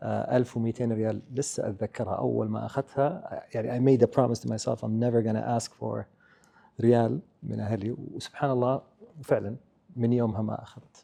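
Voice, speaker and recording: Here a man speaks with an Arabic accent. His pace is moderate. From Saudi Arabia, Eastern Province. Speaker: business leader. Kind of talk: interview. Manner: Arabic-English code-switching.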